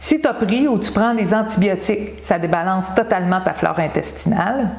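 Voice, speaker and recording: At a moderate pace, a woman speaks at a medium pitch with ordinary pitch variation over noticeable background noise. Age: 60s. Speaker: wellness coach. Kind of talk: health advice video. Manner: casual, conversational.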